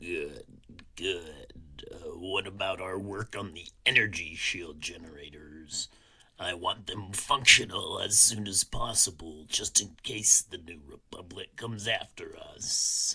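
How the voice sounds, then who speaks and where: Raspy, put-on character voice from a man, fairly low in pitch and at a fairly slow pace. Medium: read story.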